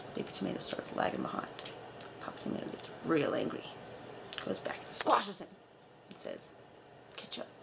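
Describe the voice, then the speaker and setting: Noticeable background noise sits under a woman's voice. She leaves long, frequent pauses. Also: fairly quick pace. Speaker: vlogger. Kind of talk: joke telling. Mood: playful, deadpan. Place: home room. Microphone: webcam.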